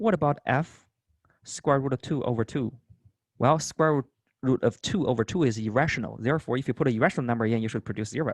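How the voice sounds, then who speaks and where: Very fast speech comes from a man of medium pitch, recorded with a dry, close sound and no echo. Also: ordinary pitch variation. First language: not English. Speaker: math instructor. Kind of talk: lecture.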